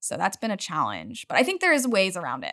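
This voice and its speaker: A woman with an American accent speaks at a very fast pace in a bright, sharp tone with vocal fry, on a very clean recording with a silent background and a dry, close sound with no echo. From Utah. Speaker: startup co-founder. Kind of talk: interview.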